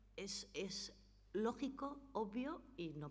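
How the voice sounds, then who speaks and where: A woman's pitch swings very widely. The room echo is audible. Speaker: notary giving a legal talk. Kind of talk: conference talk.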